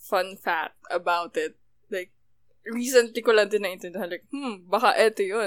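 A woman's unremarkable speaking voice at a medium pitch, moderate pace and ordinary pitch variation, with big swings in loudness. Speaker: podcast co-host. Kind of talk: casual chat.

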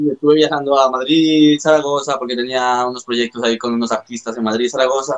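Speaking with a Latin American accent, a man talks at a fairly quick pace in a monotone, flat intonation with hardly any pauses. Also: medium pitch for a man. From Ecuador and Spain. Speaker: rapper. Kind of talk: casual chat.

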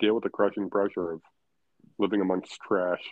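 A man speaks with a fairly low pitch and fairly even intonation. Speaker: podcast co-host. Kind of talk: casual chat.

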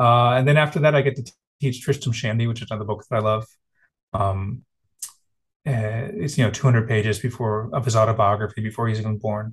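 Here a man speaks at a fairly quick pace with a medium pitch. His voice is somewhat breathy, with fairly even intonation. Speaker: translator and literature professor. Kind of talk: interview. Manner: many fillers and hesitations.

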